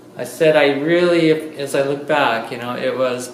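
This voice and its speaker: A man's medium-pitched voice with fairly even intonation, noticeable background noise and audible room echo. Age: 60s. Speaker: lecturer and artist. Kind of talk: public talk to an audience. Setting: art studio open house with audience.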